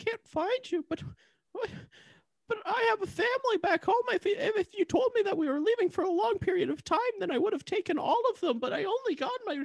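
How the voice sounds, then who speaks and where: The pitch is extremely high in this put-on character voice. The pace is fairly quick. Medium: comedy sketch. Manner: stammering, nervous.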